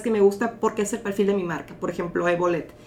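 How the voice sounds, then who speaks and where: Noticeable background noise sits behind this woman. She speaks at a fairly high pitch with ordinary pitch variation. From Mexico, Mexicali (Baja California). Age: 30s. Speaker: model and modeling agency manager. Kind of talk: casual interview.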